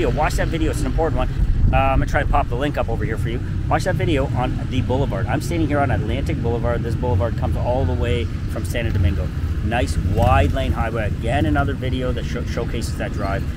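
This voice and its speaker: The sound is dry with no echo as a man rushes along at a very fast pace amid loud background noise. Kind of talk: casual promotional walk-and-talk. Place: street. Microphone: lapel.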